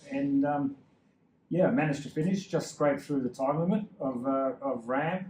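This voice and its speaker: Here a man speaks with an Australian accent and a fairly high pitch. His pace is moderate and his pitch variation ordinary. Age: 60s. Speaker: endurance cyclist. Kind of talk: interview.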